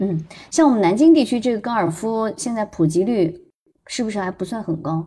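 A woman's somewhat breathy, dark, mellow voice moves at a fairly quick pace with a medium pitch. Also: lively intonation. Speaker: parent and former broadcaster. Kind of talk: casual chat. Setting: online voice room. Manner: soft-spoken.

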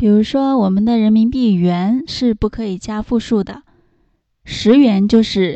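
A woman with a fairly high pitch, ordinary pitch variation and an unremarkable speaking voice. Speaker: English teacher. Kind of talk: lesson tutorial. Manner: slow, repetitive for learners.

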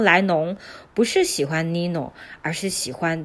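A woman with a plain, everyday voice speaks at fairly low pitch and a fairly slow pace. The recording is very clean, with a silent background. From China. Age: young. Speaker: podcast host sharing books. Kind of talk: casual book-review monologue.

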